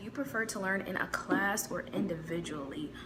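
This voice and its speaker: Audible room echo and noticeable background noise surround a woman whose pitch varies in an ordinary way. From US Midwest. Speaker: YouTuber. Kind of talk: casual vlog talk.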